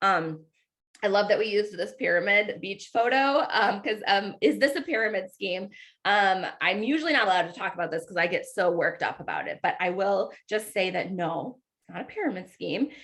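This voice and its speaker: A woman with an unremarkable speaking voice talks fairly quickly at a medium pitch, her intonation lively. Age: 30s. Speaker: online business coach recruiter. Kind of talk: sales pitch presentation.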